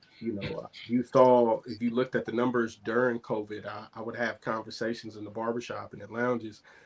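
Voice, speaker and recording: A man speaks in a medium pitch at a fairly quick pace, with hardly any pauses and monotone, flat intonation. His loudness swings widely over noticeable background noise. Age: 30s. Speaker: talk show co-host. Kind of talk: casual chat.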